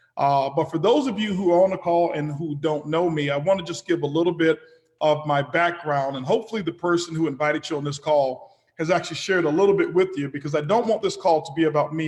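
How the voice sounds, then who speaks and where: Speaking at a fairly quick pace, a man with a fairly high pitch has an ordinary speaking voice with ordinary pitch variation. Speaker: business executive. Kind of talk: webinar presentation. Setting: webinar call.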